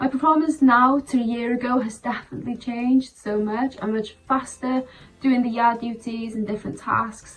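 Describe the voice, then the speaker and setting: At a moderate pace, a woman speaks with a high pitch and fairly even intonation. Noticeable background noise can be heard. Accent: Welsh. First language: Welsh. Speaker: apprentice stable worker. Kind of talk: testimonial.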